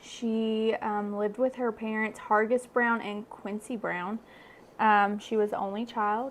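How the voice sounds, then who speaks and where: A woman speaks with a Kentucky accent. Her pitch sits fairly high. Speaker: true crime podcaster. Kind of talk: casual chat.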